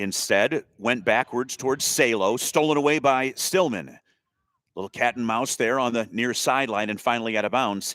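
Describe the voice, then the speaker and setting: The recording is very clean, with a silent background. A man speaks at a moderate pace and medium pitch, with ordinary pitch variation. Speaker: play-by-play sports commentator. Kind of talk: live commentary. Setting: press box at a school soccer game.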